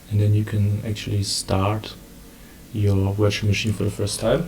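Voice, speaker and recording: A man with a German accent, somewhat breathy, at a fairly slow pace. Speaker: community organizer. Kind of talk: tutorial. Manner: halting.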